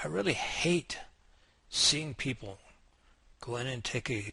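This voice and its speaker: A man's medium-pitched voice with an American accent, bright and sharp in tone, at a very slow pace. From United States. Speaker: English teacher. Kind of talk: sales pitch.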